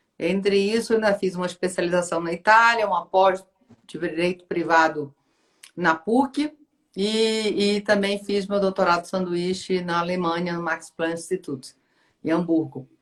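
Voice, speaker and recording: A Pará accent with fairly even intonation at a moderate pace. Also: woman, medium pitch for a woman. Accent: northern Brazilian (Pará). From Brazil, Pará (North). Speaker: law professor and lawyer. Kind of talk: live-stream interview.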